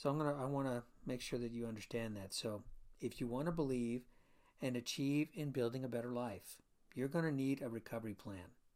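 An unremarkable speaking voice: a man with an American accent, medium pitch, ordinary pitch variation and a fairly quick pace, on a very clean recording with a silent background. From Florida. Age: 60s. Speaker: chiropractor and podcast host. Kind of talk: solo podcast monologue.

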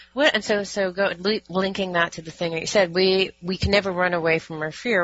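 A woman talks at a fairly quick pace in a fairly low pitch. Her intonation is fairly even, and there is noticeable background noise. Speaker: radio host. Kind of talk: radio interview.

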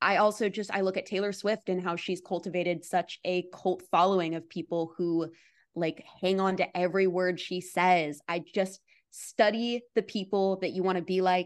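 A woman speaks at a moderate pace and medium pitch in an unremarkable speaking voice against a quiet background. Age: 20s. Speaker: content creator. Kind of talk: interview.

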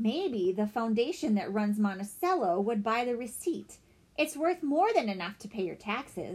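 It is a natural reading voice. The intonation is lively.

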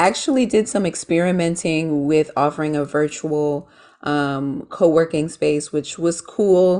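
A normal speaking voice from a woman, fairly low in pitch, with ordinary pitch variation, a fairly slow pace and a quiet background. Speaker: small business owner. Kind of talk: casual interview chat.

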